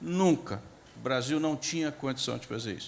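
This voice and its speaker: A man talks at a moderate pace with fairly high pitch. He has a plain, everyday voice. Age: 60s. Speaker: agricultural scientist, panelist. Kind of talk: panel discussion talk. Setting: stage at a conference forum. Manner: informal, conversational.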